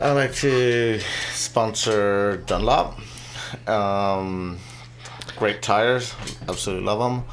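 Speaking at a very slow pace with long, frequent pauses, a man with a fairly low pitch is heard over noticeable background noise and audible room echo. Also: ordinary pitch variation. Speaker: motorcycle racer. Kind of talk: casual interview. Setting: radio studio. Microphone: too far from the mic.

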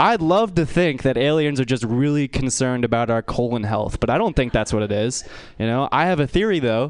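A man with an American accent and a normal speaking voice talks at a moderate pace, medium in pitch, with lively intonation. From US West Coast. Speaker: stand-up comedian. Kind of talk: stand-up. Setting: stage with audience.

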